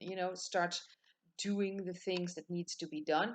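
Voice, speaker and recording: Her voice sits at a medium pitch, and the woman speaks with a Dutch accent. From Netherlands. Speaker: tarot reader. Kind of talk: tutorial. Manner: halting.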